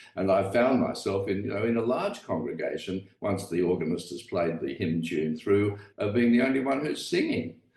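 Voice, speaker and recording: A man at a fairly low pitch and moderate pace, with lively intonation, hardly any pauses, and noticeable background noise. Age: old. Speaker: retired English professor and author. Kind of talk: podcast interview. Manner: halting, many fillers.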